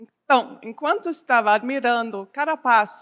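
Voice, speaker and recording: A woman with a German accent, high in pitch, at a very slow pace, in a very clean recording with a silent background. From Germany. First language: German (speaking Portuguese). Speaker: development bank representative. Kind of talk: conference keynote speech. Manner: halting with false starts.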